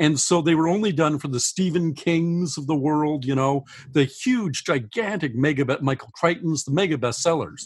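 A man's normal speaking voice, fairly high in pitch, with ordinary pitch variation, a moderate pace and hardly any pauses. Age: 60s. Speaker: science fiction author. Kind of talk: interview.

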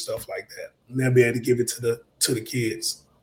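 A man's dark, mellow, somewhat breathy voice in a Southern US accent, at a moderate pace. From US South (Mobile, Alabama). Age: 30s. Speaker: real estate investor. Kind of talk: interview.

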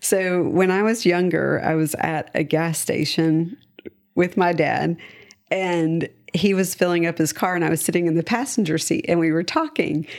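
A woman with an American accent talks at a moderate pace, her loudness very even and her pitch varying in an ordinary way. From US South. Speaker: interior designer. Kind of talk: casual chat.

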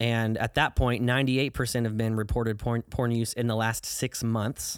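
A man with a normal speaking voice and an American accent speaks at a moderate pace and medium pitch. The recording is very clean, with a silent background and a dry, close sound with no echo. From US Midwest, southern Illinois. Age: 20s. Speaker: ministry worker. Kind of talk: testimony.

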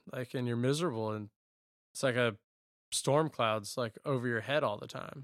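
A man with a Southern US accent speaks at a medium pitch and moderate pace, with ordinary pitch variation, long, frequent pauses, and a dry, close sound with no echo. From rural eastern North Carolina. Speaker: former college baseball player. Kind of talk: casual interview.

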